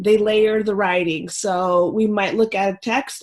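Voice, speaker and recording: A woman's medium-pitched voice with fairly even intonation at a fairly slow pace. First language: not English. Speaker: ELL specialist and presenter. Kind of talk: presentation to teachers. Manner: hesitant, many fillers.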